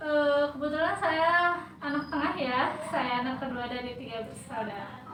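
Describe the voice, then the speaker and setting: Through audible room echo and noticeable background noise, a high-pitched woman speaks at a moderate pace with ordinary pitch variation. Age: 20s. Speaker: university student interviewee. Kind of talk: research interview answers. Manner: hesitant, filler-heavy.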